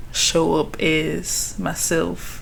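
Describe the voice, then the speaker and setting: There is audible room echo. The speaker is a woman. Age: 20s. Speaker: vlogger. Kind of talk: personal vlog reflection. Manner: casual.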